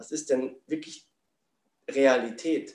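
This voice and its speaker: Speaking at a very slow pace, a man has a fairly high pitch. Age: 40s. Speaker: spiritual coach. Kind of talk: interview.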